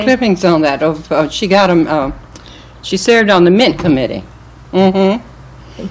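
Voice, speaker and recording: Speaking at a moderate pace with an American accent, a woman uses a fairly low pitch with very wide pitch swings. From Winston-Salem, North Carolina. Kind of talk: oral history interview answer. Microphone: old recording.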